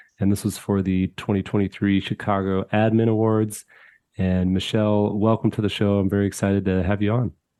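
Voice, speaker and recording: A man's fairly low, monotone voice with flat intonation, a fairly quick pace and very even loudness. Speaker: podcast host. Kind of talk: podcast interview intro.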